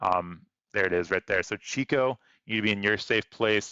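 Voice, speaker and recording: A man is speaking. His voice sits at a fairly low pitch. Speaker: weather livestreamer. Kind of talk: live commentary. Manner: fast.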